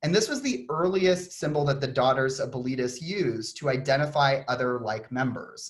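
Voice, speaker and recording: A man talks with a Texan accent, his voice fairly high and somewhat breathy. His pitch varies in an ordinary way. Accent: Texan twang. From Texas (Austin). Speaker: author and design historian. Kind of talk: conference talk. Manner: many fillers (um).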